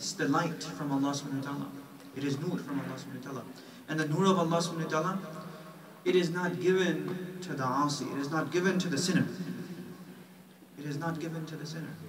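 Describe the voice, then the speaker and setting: With an American accent, a man speaks at a very fast pace in a fairly high voice with ordinary pitch variation and long, frequent pauses, amid noticeable background noise and audible room echo. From New York. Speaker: Islamic scholar. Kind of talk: lecture. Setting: mosque.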